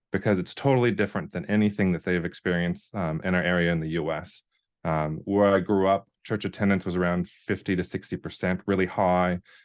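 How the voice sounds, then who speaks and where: A man with a very deep, low pitch and an American accent speaks at a fairly quick pace with fairly even intonation over a quiet background. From US Upper Midwest, North Dakota. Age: 30s. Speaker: video content creator and ministry worker. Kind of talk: online workshop presentation. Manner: halting, many fillers.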